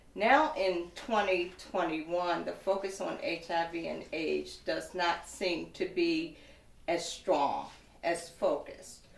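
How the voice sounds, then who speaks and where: A woman talks at a very slow pace, and audible room echo follows her voice. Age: 60s. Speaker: woman living with HIV, advocate. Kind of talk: testimony. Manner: formal.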